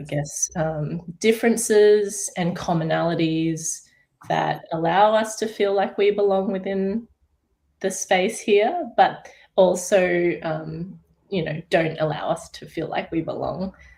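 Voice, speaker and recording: At a very slow pace, a woman with an Australian accent speaks in a medium pitch with ordinary pitch variation and a dark, mellow tone. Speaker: artist. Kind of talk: panel discussion.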